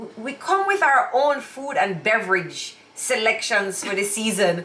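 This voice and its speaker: Speaking at a fairly slow pace with a Jamaican accent, a woman uses a fairly high pitch, lively intonation and big swings in loudness, amid noticeable background noise and audible room echo. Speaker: YouTube co-host. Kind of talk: casual chat.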